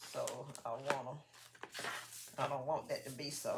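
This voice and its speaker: A soft-spoken woman with a very deep, low pitch is heard with audible room echo and noticeable background noise. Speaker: crafting channel host. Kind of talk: casual craft tutorial. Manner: soft-spoken, drifts low while working.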